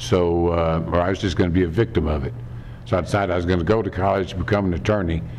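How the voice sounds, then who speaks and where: A man with a Kentucky accent speaks very fast in a very deep, low pitch with ordinary pitch variation. Light background noise can be heard. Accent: Kentucky Southern US. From Kentucky, Lexington. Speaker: political candidate; candidate. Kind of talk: campaign speech. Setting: theater fundraiser with audience. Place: meeting room. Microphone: podium.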